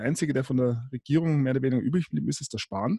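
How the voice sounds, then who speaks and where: Dark and mellow in tone, a man's fairly high voice is somewhat breathy and moves at a fairly quick pace with ordinary pitch variation. The very clean recording has a silent background and a dry, close sound with no echo. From Bavaria. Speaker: podcast host. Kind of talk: casual chat.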